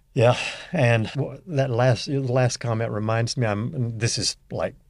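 In a Southern US accent, a man talks at a moderate pace on a very clean recording with a silent background. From US South, northeast Louisiana. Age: 60s. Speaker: leadership coach. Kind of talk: casual interview chat.

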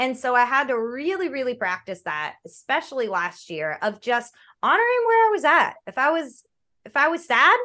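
A woman with a high, bright, sharp voice projects it loudly at a moderate pace, swinging her pitch very widely against a quiet background. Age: 30s. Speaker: gamer, streamer and cosplayer. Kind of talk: casual chat. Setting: video call. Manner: animated.

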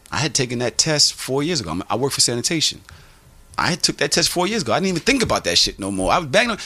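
A man with an American accent swings his pitch very widely over noticeable background noise. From Brooklyn, New York. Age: 40s. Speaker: podcaster. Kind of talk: casual chat.

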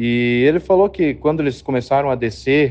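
A man's medium-pitched voice at a moderate pace. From Paraná, Brazil. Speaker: listener sharing a story. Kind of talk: recorded personal story.

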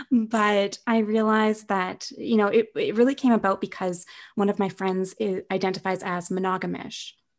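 A woman with a Canadian accent and an unremarkable speaking voice, moderate pace, fairly even intonation, very clean recording with a silent background. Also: medium pitch for a woman. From Canada, Winnipeg. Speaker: author and productivity coach. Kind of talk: interview.

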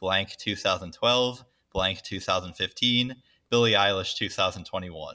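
A bright, sharp tone with an American accent and fairly even intonation, on a very clean recording with a silent background. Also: man. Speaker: guest quizmaster, actuarial consultant. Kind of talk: quiz reading.

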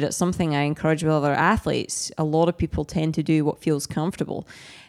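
In a Scottish accent, a woman speaks at a very deep, low pitch with monotone, flat intonation. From Scotland. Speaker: pro triathlete and coach. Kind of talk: casual interview chat.

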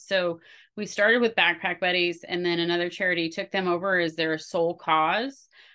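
The speaker talks in a normal speaking voice at a moderate speed. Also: woman. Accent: American. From US Pacific Northwest. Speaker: college professor and event organizer. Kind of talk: casual interview.

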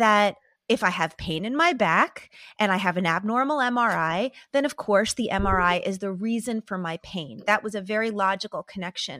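A woman speaks in a bright, sharp tone with lively intonation. The recording is very clean, with a silent background. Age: 40s. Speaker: psychotherapist and author. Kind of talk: interview conversation.

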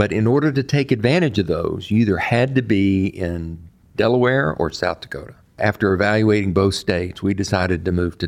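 A man with an unremarkable speaking voice talks at a fairly quick pace, his fairly low pitch showing ordinary pitch variation. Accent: American. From Texas. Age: 60s. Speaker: banker and entrepreneur. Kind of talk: interview.

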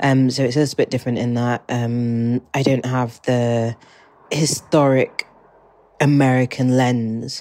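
A woman with a very deep, low pitch and a dark, mellow tone speaks at a very slow pace in a monotone, flat intonation. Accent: British. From England. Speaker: listener sharing a message. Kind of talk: voice memo, personal reflection. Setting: recorded voice memo.

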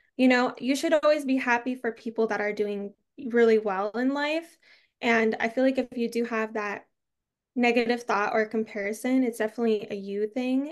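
Over a quiet background, a woman with an American accent uses a normal speaking voice, fairly high in pitch, with fairly even intonation at a moderate pace. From Arizona. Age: 20s. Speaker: content creator. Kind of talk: casual chat.

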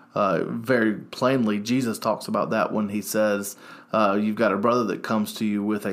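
Moderate pace from a man, with a Southern US accent. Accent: US South. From North Carolina, Salisbury. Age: 30s. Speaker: youth pastor. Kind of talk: casual chat. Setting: studio.

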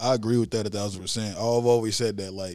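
A man talks at a very fast pace in a flat, monotone delivery. The recording is very clean, with a silent background. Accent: American. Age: 20s. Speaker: podcast host. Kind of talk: casual chat.

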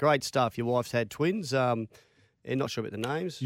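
A fairly quick pace with ordinary pitch variation, in an Australian accent. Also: man. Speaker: sports radio co-host. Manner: jokey, bantering.

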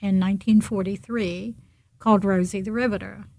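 A woman speaks at a very slow pace with medium pitch and fairly even intonation. Her voice is somewhat breathy. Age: 70s. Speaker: founder of Rosie movement. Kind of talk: interview.

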